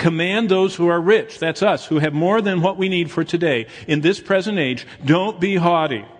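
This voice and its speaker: A man's high-pitched voice with an American accent, ordinary pitch variation, a moderate pace and hardly any pauses. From Michigan, US Midwest. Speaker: pastor. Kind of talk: sermon.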